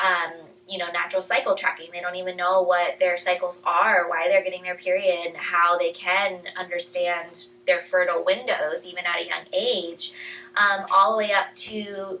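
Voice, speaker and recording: A woman speaks at medium pitch and a moderate pace. Her intonation is monotone and flat, with noticeable background noise. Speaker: chiropractor hosting a women's health talk. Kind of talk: casual talk to a live audience.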